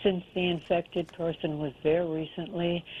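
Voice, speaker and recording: A woman speaks at a fairly slow pace, and noticeable background noise can be heard. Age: 70s. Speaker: caller. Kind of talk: call-in question.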